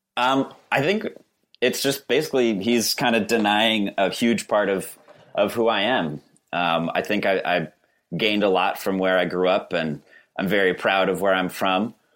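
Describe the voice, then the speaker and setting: An ordinary speaking voice from a man, fairly low in pitch with ordinary variation, at a moderate pace and very even loudness, on a very clean recording with a silent background. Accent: American. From Western Massachusetts (West Stockbridge, Berkshires). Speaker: litigant in comedic dispute. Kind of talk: casual chat.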